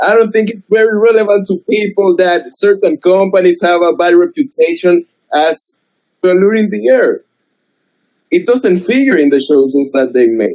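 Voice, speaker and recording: Dry and close with no echo, a man speaks with a strong non-native accent at a moderate pace, his high voice full of lively intonation. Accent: strong foreign. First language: not English. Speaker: debater. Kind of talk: heated debate. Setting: video call.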